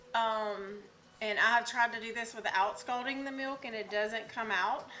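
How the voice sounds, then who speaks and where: In a Southern US accent, a woman speaks at a moderate pace and fairly high pitch with fairly even intonation and audible room echo. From US South. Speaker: cooking channel host. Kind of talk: cooking tutorial. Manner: casual, with many fillers (um, uh).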